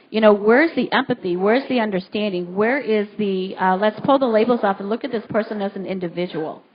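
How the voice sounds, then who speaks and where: Over noticeable background noise, a woman with a fairly high pitch and ordinary pitch variation talks very fast with hardly any pauses. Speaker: radio talk show host. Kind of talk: talk radio discussion. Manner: loud.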